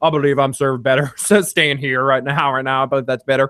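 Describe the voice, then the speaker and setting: A man mumbles in a put-on character voice at medium pitch, talking fairly quickly with fairly even intonation. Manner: mumbling, indistinct.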